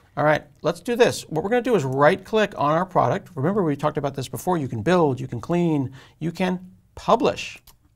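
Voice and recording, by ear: A man's fairly high voice with vocal fry, lively intonation and a fairly quick pace, few pauses, on a very clean recording with a silent background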